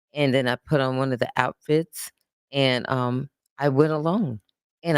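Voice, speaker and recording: Dry and close with no echo, a woman with an American accent speaks at a moderate pace with fairly even intonation. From United States. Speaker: performer telling life story. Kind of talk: casual interview storytelling. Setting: filmed chat show. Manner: halting.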